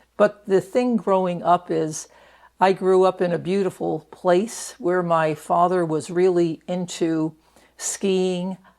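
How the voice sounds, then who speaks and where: Fairly slow and fairly even in intonation, this is a plain, everyday voice with an American accent. The recording is very clean, with a silent background. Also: woman. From New York, Catskill Mountains. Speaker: retired prison doctor. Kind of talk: oral history interview. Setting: interview in Reno.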